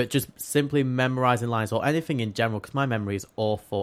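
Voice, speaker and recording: Very fast speech from a man with an English accent, on a very clean recording with a silent background. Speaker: theatre student and podcast co-host. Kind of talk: casual chat. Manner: fast talker; stumbles over words.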